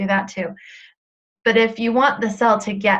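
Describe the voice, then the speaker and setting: Here is a woman with an ordinary speaking voice. Her pitch is fairly high, and her intonation fairly even. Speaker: weight loss coach. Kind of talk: webinar coaching talk. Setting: live webinar.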